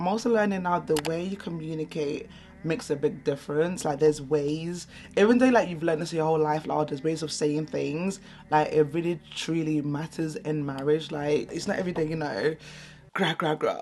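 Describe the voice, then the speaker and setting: In a London accent, a woman with a very deep, low voice and a dark, mellow tone speaks at a fairly quick pace with ordinary pitch variation. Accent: London English with Nigerian heritage. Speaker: beauty vlogger. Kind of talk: casual chat. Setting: at home. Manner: loud.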